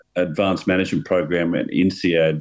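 A man with an Australian accent talks in a very deep, low pitch. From Victoria, Australia. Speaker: golf club owner. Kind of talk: interview.

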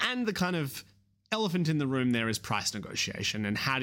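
In an Australian accent, a man talks at a fairly quick pace on a very clean recording with a silent background. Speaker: haematology researcher.

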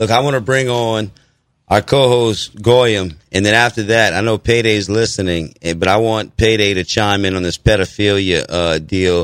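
In an American accent, a man with a fairly low pitch speaks at a moderate pace with ordinary pitch variation, in a plain, everyday voice. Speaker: radio host. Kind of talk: live talk radio show, conspiracy-themed. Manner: conversational, earnest, alarmed; disfluent, repeats words.

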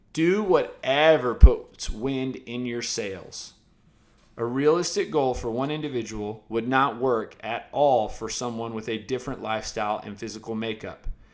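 A man's ordinary speaking voice at medium pitch and moderate pace, with ordinary pitch variation and big swings in loudness, on a very clean recording with a silent background. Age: 20s. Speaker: podcast host and fitness trainer. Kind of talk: reading aloud.

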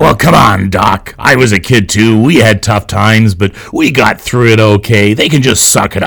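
A man uses a put-on character voice. He speaks at a medium pitch and a moderate pace. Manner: grumpy, dismissive.

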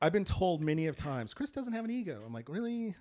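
A man is speaking. His pace is very fast. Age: 60s. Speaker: photographer. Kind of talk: casual chat. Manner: animated.

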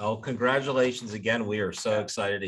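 A man talks in a normal speaking voice, fairly low in pitch. His pace is moderate and his intonation fairly even. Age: 60s. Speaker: webinar host. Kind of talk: webinar interview.

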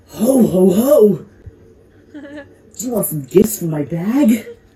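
A female-sounding voice puts on a character voice at a fairly high pitch. The pace is fairly slow. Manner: jolly.

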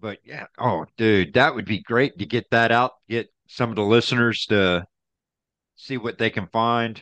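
Over a quiet background, a man with a plain, everyday voice and medium pitch talks at a fairly slow pace with fairly even intonation. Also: dry, close sound with no echo. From Central Florida. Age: 40s. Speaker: podcast guest. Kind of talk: casual chat.

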